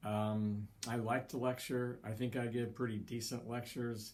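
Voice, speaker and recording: A man speaks at a fairly slow pace in a medium pitch, his intonation flat and monotone. There is audible echo in the room. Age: 60s. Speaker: college psychology instructor. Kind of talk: lecture. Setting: recorded online lecture. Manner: hesitant, filler-heavy; varying pace, sometimes slow.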